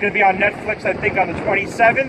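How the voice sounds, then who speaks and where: A man speaks in a high voice at a moderate pace, his intonation fairly even, with noticeable background noise. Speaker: vlogger. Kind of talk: casual vlog chat. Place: street. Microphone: phone near.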